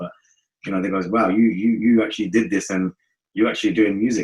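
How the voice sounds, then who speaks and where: Animated and very fast, a man talks at a fairly low pitch. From North West London. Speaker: reggae singer. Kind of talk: casual interview chat.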